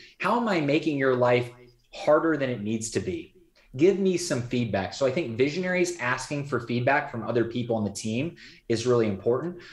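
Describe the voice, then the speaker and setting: A man's somewhat breathy voice at a fairly quick pace, with audible room echo. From Indiana, US Midwest. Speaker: entrepreneur and business coach; business coach. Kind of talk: interview conversation. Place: home room. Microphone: video call.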